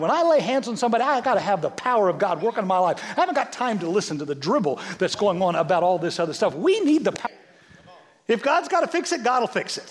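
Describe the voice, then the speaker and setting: A man with an American accent talks at a very fast pace in a high, animated voice with very wide pitch swings. Background noise is noticeable. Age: 60s. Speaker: pastor. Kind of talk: sermon.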